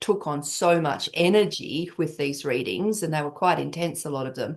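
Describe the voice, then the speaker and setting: The speaker uses an Australian accent at a moderate pace. Pitch varies in an ordinary way over a quiet background. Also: woman. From Western Australia. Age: 60s. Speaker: tarot reader and coach. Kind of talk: interview conversation.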